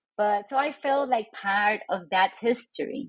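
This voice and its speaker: Speaking very slowly with a Spanish accent, a woman uses a medium pitch. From Puerto Rico (Old San Juan). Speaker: professor and author. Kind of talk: interview.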